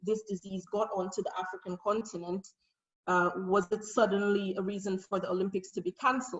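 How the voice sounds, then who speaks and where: This woman speaks at a moderate pace. Her pitch is medium, and her voice is somewhat breathy. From Nigeria. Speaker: researcher and conference speaker. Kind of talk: conference presentation.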